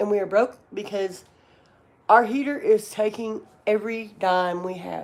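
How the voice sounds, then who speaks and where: A woman speaks with a Southern US accent. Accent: a little more southern than locals. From southern Indiana, near Louisville. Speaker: livestreamer, cosmetologist. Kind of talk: casual livestream chat.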